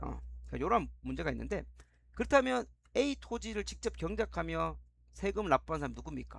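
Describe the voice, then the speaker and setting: A fairly quick pace marks this man's delivery. The background is silent, and the recording very clean. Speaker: history teacher. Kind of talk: lecture. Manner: fast.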